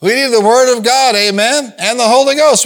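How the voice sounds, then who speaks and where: The tone is animated. Intonation rises and falls in a lively way. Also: man. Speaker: preacher. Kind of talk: sermon; preacher in full flow, call-and-response with a congregation. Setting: church with live congregation. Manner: animated, exhorting, rallying the crowd with repeated commands; punchy and emphatic, repeating lines for effect.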